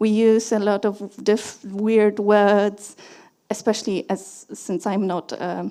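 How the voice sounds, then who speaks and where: A woman with a Polish accent, a medium pitch and a dark, mellow tone, monotone and flat at a very slow pace. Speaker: conference speaker, security engineer. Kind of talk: conference talk. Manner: halting, many fillers and restarts.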